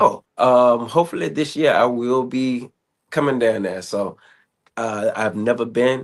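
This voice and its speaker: Against a quiet background, a man with an American accent speaks in an ordinary speaking voice. He moves at a fairly slow pace with ordinary pitch variation. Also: medium pitch for a man. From Southern Virginia. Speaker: podcast host. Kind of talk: interview.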